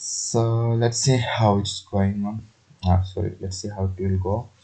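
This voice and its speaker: Against noticeable background noise, a man with a non-native accent speaks at a fairly slow pace in a fairly low pitch, his intonation monotone and flat. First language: not English. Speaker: programming tutorial youtuber. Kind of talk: tutorial. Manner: halting, many fillers.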